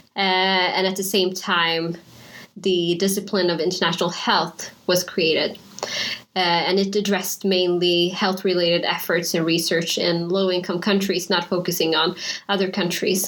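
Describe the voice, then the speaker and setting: Amid noticeable background noise, the speaker talks at a moderate pace with very even loudness and monotone, flat intonation. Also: woman, medium pitch for a woman. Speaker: physician. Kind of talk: panel discussion.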